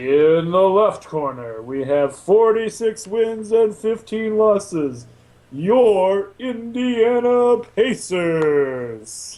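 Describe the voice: A put-on character voice, fairly high in pitch, at a very slow pace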